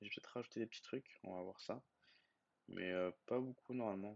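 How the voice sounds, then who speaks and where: Fairly quick delivery from a man of medium pitch, with ordinary pitch variation. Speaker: YouTuber. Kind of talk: screen-share tutorial. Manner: fast; casual with many hesitations.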